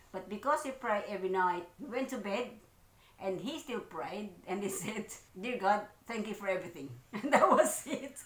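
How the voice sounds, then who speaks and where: The woman's intonation is lively. Audible room echo and noticeable background noise fill the recording. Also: medium pitch for a woman, moderate pace. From Philippines. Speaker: vlogger. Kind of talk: casual chat.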